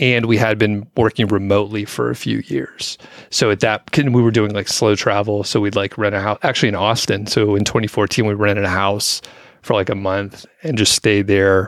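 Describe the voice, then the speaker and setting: With an ordinary speaking voice, a man talks at a moderate pace, his fairly low pitch showing ordinary variation. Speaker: podcast co-host. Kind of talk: casual chat. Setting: studio.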